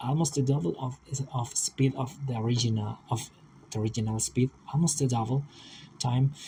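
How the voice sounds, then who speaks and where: A somewhat breathy, dark, mellow voice with ordinary pitch variation and a non-native accent. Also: man. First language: not English. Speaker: aspiring vtuber, digital artist. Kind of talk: casual video monologue. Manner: halting, many repetitions and fillers. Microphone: old laptop, poor audio quality.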